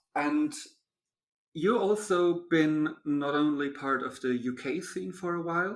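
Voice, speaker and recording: There's a German accent in this man's voice. His intonation moves about with a lot of energy. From Germany. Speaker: podcast host. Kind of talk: casual interview chat.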